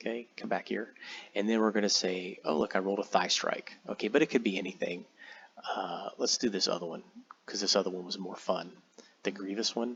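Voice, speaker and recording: With an unremarkable speaking voice, a man talks at a fairly quick pace, fairly low in pitch, with fairly even intonation. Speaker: tabletop game software tutorial creator. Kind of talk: tutorial. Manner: casual, many fillers and repeats.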